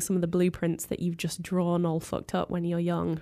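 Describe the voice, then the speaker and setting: On a very clean recording with a silent background, a woman with an ordinary speaking voice talks fairly quickly at medium pitch. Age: 20s. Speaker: music journalist. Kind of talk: casual interview.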